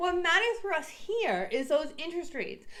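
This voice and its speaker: Amid noticeable background noise, a woman speaks in an animated tone with very wide pitch swings. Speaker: real estate agent. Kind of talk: casual explainer. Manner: fast.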